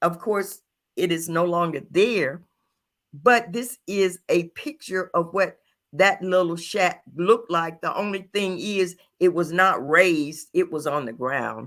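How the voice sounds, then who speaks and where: A woman with a Louisiana accent, fairly low pitch and ordinary pitch variation, at a fairly slow pace, on a very clean recording with a silent background. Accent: Southern US (Louisiana). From US South, rural Louisiana. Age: 70s. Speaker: podcast co-host. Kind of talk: personal testimony. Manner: halting.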